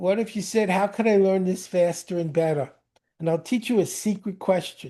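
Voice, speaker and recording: Over a quiet background, a man with a New York accent talks at a moderate pace in a high pitch, dark and mellow in tone, with ordinary pitch variation. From New York (Brooklyn). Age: 70s. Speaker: speed reading teacher. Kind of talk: interview. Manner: animated.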